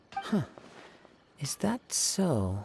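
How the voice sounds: A man's put-on character voice, fairly high in pitch with big pitch swings, vocal fry, a slightly husky edge and a slightly mellow tone, at a very slow pace.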